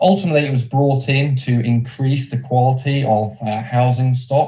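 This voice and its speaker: The voice is somewhat breathy with a dark, mellow tone, moving at a moderate pace with fairly even intonation. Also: man. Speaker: business development manager at a lender. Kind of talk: presentation.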